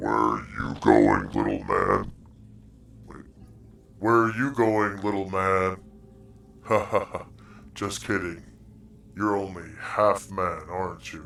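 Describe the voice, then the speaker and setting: Putting on a gravelly character voice, a man talks at a fairly slow pace with fairly low pitch and long, frequent pauses. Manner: taunting, mocking.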